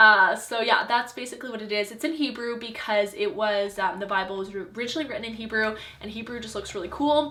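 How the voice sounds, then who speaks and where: Loudness swings widely and pitch varies in an ordinary way as the speech rushes by at a very fast pace with hardly any pauses, over noticeable background noise and audible room echo. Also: woman, fairly high pitch for a woman. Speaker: lifestyle vlogger. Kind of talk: personal testimony vlog. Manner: casual, filler-heavy.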